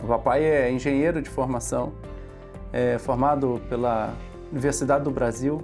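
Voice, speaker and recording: A man speaks at a fairly high pitch with fairly even intonation over music in the background. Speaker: podcast host. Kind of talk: podcast interview questions.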